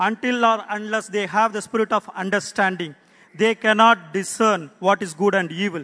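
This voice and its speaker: A man with a high pitch and a bright, sharp tone uses a raised, projected voice at a moderate pace with fairly even intonation, the sound dry and close with no echo. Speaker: prayer leader. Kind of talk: group prayer. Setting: church.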